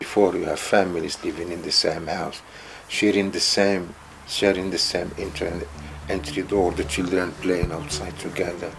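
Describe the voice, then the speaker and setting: A man speaks at a moderate pace in a very deep, low voice with flat, monotone intonation, and the recording has audible room echo and noticeable background noise. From northern Morocco. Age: 60s. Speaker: community member. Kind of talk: interview testimony.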